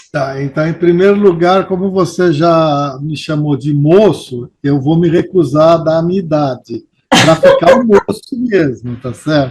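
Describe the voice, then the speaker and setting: With a normal speaking voice, a man speaks at a fairly high pitch and a fairly slow pace, using ordinary pitch variation and hardly any pauses. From São Paulo, Brazil. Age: 60s. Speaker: longtime local resident interviewed about neighborhood history. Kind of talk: interview.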